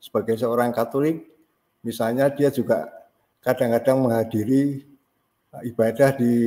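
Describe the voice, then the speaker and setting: A man talks at a medium pitch with a dark, mellow tone. His intonation stays fairly even. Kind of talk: casual discussion. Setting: video call.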